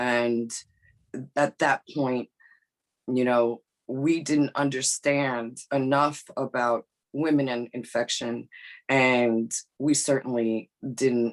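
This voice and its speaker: A woman speaks very slowly, with a very deep, low pitch and a New York accent. Her intonation stays fairly even, with long, frequent pauses, and the sound is dry and close with no echo. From New York (Bronx), Brazilian immigrant family. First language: not English (English her third language). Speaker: behavioral scientist. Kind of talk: podcast interview. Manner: halting, many fillers and repeats.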